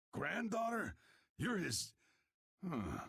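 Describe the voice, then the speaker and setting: Putting on a raspy character voice, a man speaks at a high pitch. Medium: video game. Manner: gruff, wry.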